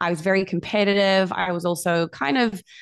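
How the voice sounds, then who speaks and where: A fairly slow delivery in an Australian accent against a quiet background. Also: woman. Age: 30s. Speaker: fitness coach. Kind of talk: interview.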